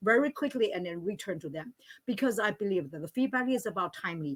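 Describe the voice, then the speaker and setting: Lively intonation marks this speaker with a non-native accent. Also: woman. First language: not English; English is third language. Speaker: language teacher, panelist. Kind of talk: panel discussion. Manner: halting, many fillers.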